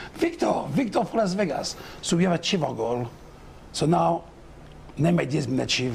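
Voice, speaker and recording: Over noticeable background noise, a man with a non-native accent and a fairly high pitch speaks at a fairly quick pace with lively intonation. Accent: foreign. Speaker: mayoral candidate. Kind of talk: political debate.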